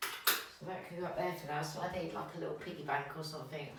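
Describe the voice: A woman with a low pitch and a bright, sharp tone, talking fast with fairly even intonation amid strong room echo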